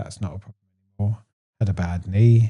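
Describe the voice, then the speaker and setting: A man's somewhat breathy voice, dark and mellow in tone, fairly low in pitch, with ordinary pitch variation. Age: 30s. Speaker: weight loss interviewee. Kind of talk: casual interview.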